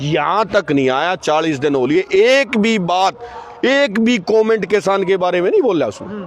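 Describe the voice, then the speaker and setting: A man is speaking. Background noise is noticeable. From Haryana. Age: old. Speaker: farmer protester. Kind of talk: impassioned interview answer at protest.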